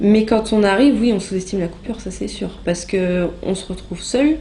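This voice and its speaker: Amid noticeable background noise and audible room echo, a woman talks at a moderate pace and medium pitch with ordinary pitch variation. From France, Normandy (Rouen). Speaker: former volunteer abroad. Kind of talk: interview testimony. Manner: hesitant, many filler sounds.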